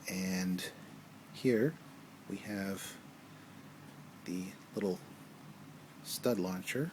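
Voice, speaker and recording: Soft-spoken, this man has a fairly low pitch with ordinary pitch variation. He talks at a very slow pace, with long pauses coming often. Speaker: toy reviewer. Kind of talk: product review. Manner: casual.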